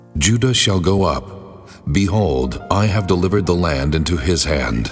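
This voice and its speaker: Clear music plays in the background while a man uses a put-on character voice. It is very deep and low, delivered at a moderate pace. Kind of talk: dramatized Bible reading. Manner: authoritative.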